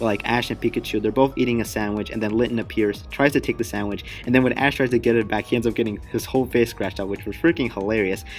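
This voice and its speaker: Music plays behind a man who talks at a very fast pace with hardly any pauses, a fairly low pitch and ordinary pitch variation. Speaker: YouTuber reacting to anime news. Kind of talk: casual video commentary. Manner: animated.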